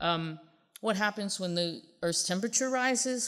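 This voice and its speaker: Delivered at a moderate pace, a plain, everyday voice carries lively intonation. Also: woman. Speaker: geophysics researcher. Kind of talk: lecture.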